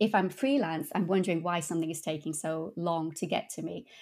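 A woman with an English accent speaks at a fairly low pitch and a fairly quick pace. Her intonation is fairly even, and the recording is very clean with a silent background. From England. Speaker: translator. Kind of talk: interview.

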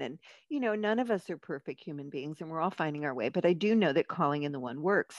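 Against a quiet background, a woman with a plain, everyday voice speaks at a fairly low pitch with lively intonation, the sound dry and close with no echo. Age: 60s. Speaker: marriage and family therapist and author. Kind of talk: casual chat.

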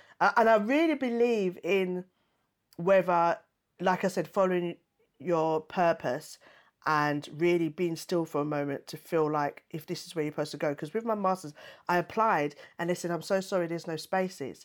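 In a very clean recording with a silent background, a woman with a fairly low pitch speaks at a moderate pace and ordinary pitch variation. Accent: East London. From East London, England. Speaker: stand-up comedian and TV panelist. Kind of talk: interview conversation.

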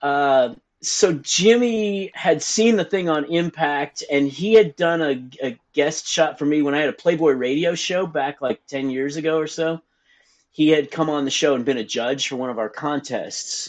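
Speaking in a normal speaking voice, the man sounds fairly high for a man, and his pitch moves with ordinary variation. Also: moderate pace. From Texas, Dallas. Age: 50s. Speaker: adult website owner and podcast host. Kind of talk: interview conversation.

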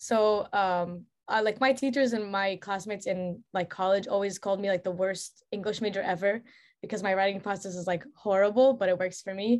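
A woman's normal speaking voice, fairly even in intonation, against a quiet background. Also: medium pitch for a woman, fairly quick pace. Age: 20s. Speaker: author and painter. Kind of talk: casual interview chat.

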